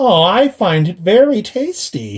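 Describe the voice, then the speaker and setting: A man puts on a character voice, high in pitch with very wide pitch swings. He speaks at a fairly slow pace. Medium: read story. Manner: sly, gloating.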